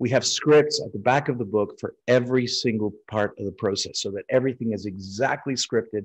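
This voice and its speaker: A man with an American accent speaks at a fairly quick pace, medium in pitch with ordinary pitch variation. It is a plain, everyday voice over a quiet background. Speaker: refractive eye surgeon and lecturer. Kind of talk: webinar lecture. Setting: online webinar. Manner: frequent fillers and repetitions.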